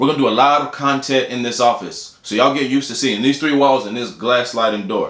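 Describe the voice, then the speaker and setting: A man races through his words at a very fast pace, ordinary pitch variation intact, with noticeable background noise behind him. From Houston, Texas. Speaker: doctor and video blogger. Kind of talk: casual vlog talk to camera. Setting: office.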